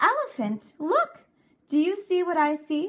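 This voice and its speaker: Putting on a character voice, a woman speaks at a fairly slow pace in a raised, projected, squeaky voice with an extremely high pitch and very wide pitch swings. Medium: read story. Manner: smooth, sly.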